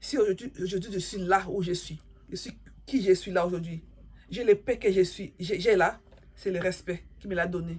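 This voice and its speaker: This woman's voice is somewhat breathy, with fairly even intonation. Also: medium pitch for a woman, moderate pace. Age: 40s. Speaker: YouTuber giving life advice. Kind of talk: moral advice monologue to camera. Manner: repetitive, emphatic.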